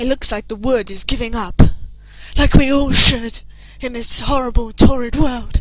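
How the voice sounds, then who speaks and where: Over music in the background, a woman with a high pitch speaks at a moderate pace, her intonation lively and her loudness swinging widely. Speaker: let's play gamer. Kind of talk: game playthrough commentary. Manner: playful, joking.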